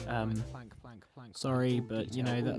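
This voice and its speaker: Music in the background behind a man with an English accent, medium pitch and moderate pace. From England. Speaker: Minecraft YouTuber. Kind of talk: casual gameplay commentary. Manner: hesitant, rambling.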